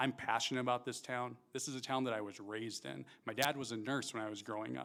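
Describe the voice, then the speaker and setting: At a very fast pace, a man with a medium pitch and vocal fry talks with fairly even intonation. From Montana, Great Falls. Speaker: mayoral candidate. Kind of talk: debate opening statement. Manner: loud. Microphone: mic cracking.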